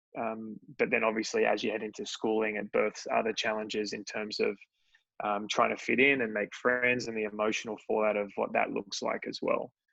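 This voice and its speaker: At a fairly quick pace, a man talks in an Australian accent. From Australia, Sydney. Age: 30s. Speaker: entrepreneur. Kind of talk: interview.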